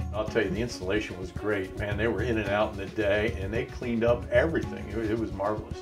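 Very clear music plays behind a man who talks very fast with hardly any pauses. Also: fairly low pitch for a man. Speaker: home improvement radio show host. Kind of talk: customer testimonial interview. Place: home room.

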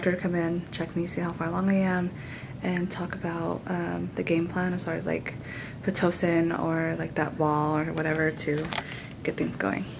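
A woman speaks at a moderate pace with a fairly low pitch and fairly even intonation, over noticeable background noise. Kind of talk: casual vlog chat. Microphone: phone near.

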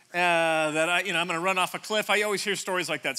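A man speaks in a raised, projected voice with a bright, sharp tone. His pace is very fast. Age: 50s. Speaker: pastor. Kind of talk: sermon. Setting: church stage with audience. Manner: animated.

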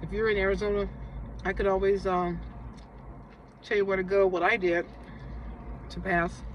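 A woman talks at a moderate pace in a dry sound with no echo, with light background noise behind her. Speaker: vlogger. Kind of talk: casual vlog chat. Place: car. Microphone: phone near.

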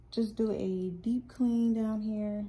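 Light background noise is present. The speaker is a woman. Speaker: lifestyle vlogger. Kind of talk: casual vlog chat. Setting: at home at night. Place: home room. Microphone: phone near.

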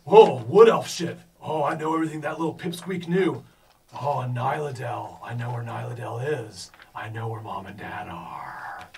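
Using a put-on character voice, a man talks at a medium pitch. Light background noise can be heard. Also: moderate pace. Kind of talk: in-character roleplay voice. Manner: mocking, smug.

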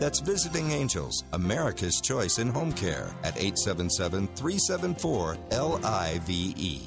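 Music plays in the background as a man talks at a moderate pace with hardly any pauses. His very deep, low voice makes very wide pitch swings. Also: very even loudness. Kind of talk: radio commercial read.

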